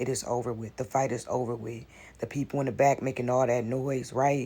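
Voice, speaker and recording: This man has a dark, mellow tone and medium pitch. His delivery is monotone and flat, and somewhat breathy. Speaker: spiritual content creator. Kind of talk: inspirational spiritual message.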